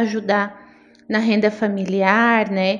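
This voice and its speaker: This woman has a plain, everyday voice, pitched fairly high, and she speaks at a fairly slow pace. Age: 30s. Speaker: lawyer. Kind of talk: interview conversation.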